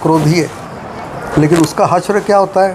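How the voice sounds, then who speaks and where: Noticeable background noise runs under the speech. The intonation stays fairly even. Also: man. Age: 80s+. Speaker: retired scientist and health lecturer. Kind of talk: interview.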